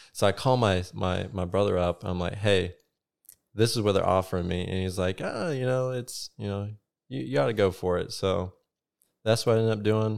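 A man with a fairly low pitch and a Southern US accent talks at a moderate pace with ordinary pitch variation, on a very clean recording with a silent background. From South Carolina. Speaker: navy nuclear electrician. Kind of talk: casual chat.

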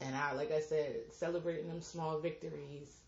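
Somewhat breathy and very deep, low in pitch, a woman speaks at a fairly slow pace. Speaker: podcast host. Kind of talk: casual chat. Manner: animated.

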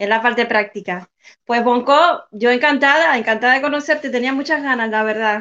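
Here a woman speaks at a fairly quick pace with a high pitch. Her tone is bright and sharp, with ordinary pitch variation. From Cuba. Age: young. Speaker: activist. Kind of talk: interview.

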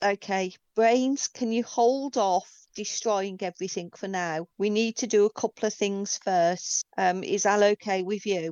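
A woman's unremarkable speaking voice at medium pitch, fairly even in intonation, with hardly any pauses. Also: fairly slow pace. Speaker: tabletop game player. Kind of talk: role-playing game actual play.

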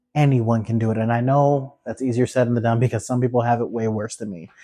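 A man with a dark, mellow tone talks at a fairly quick pace and medium pitch with fairly even intonation, the background quiet. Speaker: podcast host. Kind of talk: solo pep talk, guided-meditation-style close-your-eyes moment.

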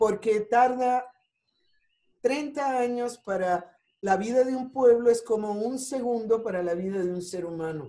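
Speaking fairly slowly, a woman with a fairly high pitch and a dark, mellow tone shows ordinary pitch variation and big swings in loudness. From Puerto Rico (Ponce). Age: 60s. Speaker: family constellations therapist and Sufi spiritual guide. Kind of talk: interview.

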